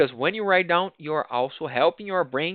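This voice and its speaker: A man is speaking with a Portuguese accent. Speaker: project management trainer. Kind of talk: online lecture. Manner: halting, with many restarts.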